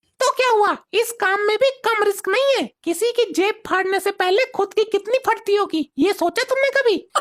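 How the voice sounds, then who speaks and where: A cartoonish character voice that sounds female goes extremely high in pitch, moving at a moderate pace with hardly any pauses. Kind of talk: comic cartoon voice. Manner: bossy, scolding.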